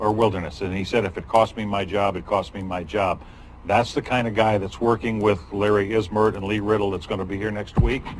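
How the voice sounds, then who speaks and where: Fairly low male voice amid noticeable background noise. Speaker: county board chair. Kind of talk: public meeting. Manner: animated.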